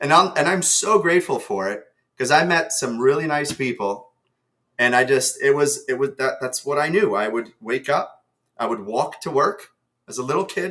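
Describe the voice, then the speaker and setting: This man speaks with a New Jersey accent at a moderate pace, his pitch fairly high. His tone is bright and sharp, and his intonation is lively. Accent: American, New Jersey. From New Jersey, US (moved from Ukraine at seven). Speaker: sales executive. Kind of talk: podcast interview.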